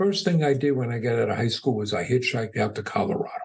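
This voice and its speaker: This man speaks with an American accent and vocal fry. His pitch swings very widely. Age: 60s. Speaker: entrepreneur. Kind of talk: podcast interview.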